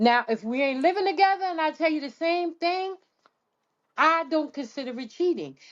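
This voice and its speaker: A woman speaks loudly in a high pitch, her tone animated and her intonation lively. Her pace is moderate. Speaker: podcast co-host. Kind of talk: casual chat.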